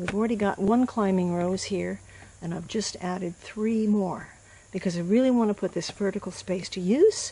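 A woman's somewhat breathy voice sits at medium pitch. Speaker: gardener. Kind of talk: gardening tutorial narration.

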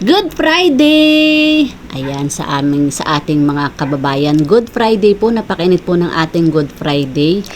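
Over noticeable background noise, a woman speaks at a fairly slow pace with hardly any pauses. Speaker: cooking vlogger. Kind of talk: cooking vlog. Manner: casual, chatty.

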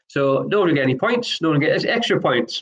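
A man talks at a very fast pace in a high pitch. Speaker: online pub quiz host. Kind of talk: live online quiz hosting. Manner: monotone. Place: home room. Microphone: webcam.

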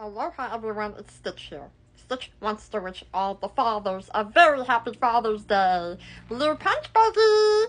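At a moderate pace, a female-sounding voice puts on a character voice pitched fairly high. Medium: solo performance. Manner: excitable, third-person self-talk.

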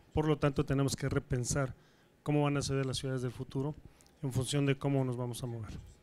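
Talking at a very fast pace, a man uses a monotone, flat intonation. His pitch is medium, and he has a Mexican accent. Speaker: transport business leader. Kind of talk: conference presentation.

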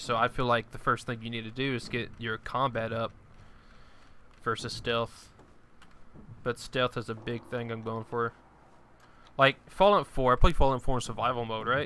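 An American-accented man with a medium pitch, a bright, sharp tone, ordinary pitch variation and long, frequent pauses. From US South. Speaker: video game streamer. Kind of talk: live gameplay commentary. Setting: live stream. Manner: casual, rambling with repetitions.

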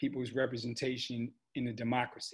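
Over a quiet background, a man with an American accent speaks at a moderate pace. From Chicago. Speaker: university provost. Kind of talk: panel interview; interview answer. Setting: video call. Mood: earnest, measured. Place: home room. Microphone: video call.

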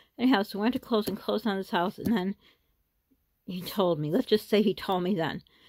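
A woman talks very fast at a medium pitch, with ordinary pitch variation. The recording is very clean and dry, close with no echo, over a silent background. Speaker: YouTuber vlogger. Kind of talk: casual chat.

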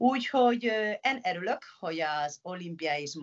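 A woman's voice with a Spanish accent, over a quiet background. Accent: Spanish-accented Hungarian. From Spain, Pamplona (Navarre). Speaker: professional handball player. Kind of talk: interview. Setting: video call. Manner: halting. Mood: earnest, somewhat concerned. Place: home room. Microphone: video call.

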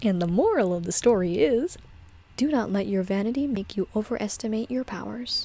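Over faint music in the background, a woman with a fairly high pitch talks at a fairly quick pace, her tone calm and her intonation lively. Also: dry sound with no echo. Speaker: streamer and storyteller; streamer, storyteller. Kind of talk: reading aloud. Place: home room.

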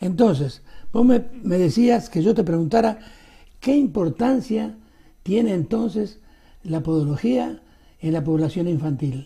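A man with a high pitch and a dark, mellow tone speaks at a fairly slow pace, with very wide pitch swings and long, frequent pauses. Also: quiet background. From Argentina or Uruguay. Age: 80s+. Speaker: show host. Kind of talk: interview. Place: studio.

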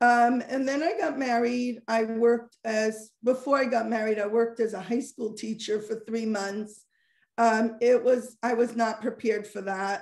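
A woman with an American accent and a fairly high pitch, at a moderate pace with fairly even intonation, amid a quiet background and audible room echo. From Monsey, New York, US; New York. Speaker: social worker and parenting coach; parenting coach. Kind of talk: interview. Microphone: video call.

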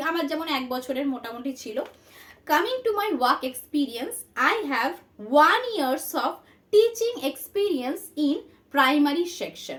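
Pitched high, the woman's voice rises and falls in very wide swings. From West Bengal, Paschim Medinipur. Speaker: online tutor. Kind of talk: tutorial.

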